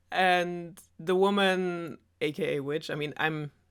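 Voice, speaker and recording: A woman's bright, sharp tone in a German accent. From Germany. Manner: sarcastic.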